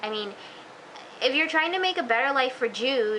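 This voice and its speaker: A woman talks at a fairly quick pace with lively intonation. Noticeable background noise sits behind her. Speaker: TV show reviewer. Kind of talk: casual video review. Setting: self-recorded on camera. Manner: hesitant, many fillers; fast.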